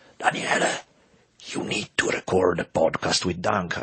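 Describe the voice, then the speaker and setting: A raspy, put-on character voice from a man, pitched very deep and low, at a moderate pace. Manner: yelling.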